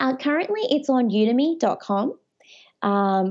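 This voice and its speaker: A woman speaks at a high pitch with lively intonation in an Australian accent. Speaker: edtech entrepreneur. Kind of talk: casual interview chat.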